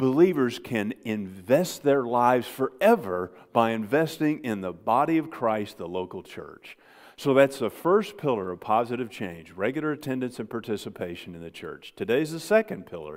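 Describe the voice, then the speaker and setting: In an Ozark accent, a man at medium pitch talks at a moderate pace with very wide pitch swings and big swings in loudness, on a very clean recording with a silent background. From Ozarks, US Midwest/South. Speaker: pastor. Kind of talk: sermon. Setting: church.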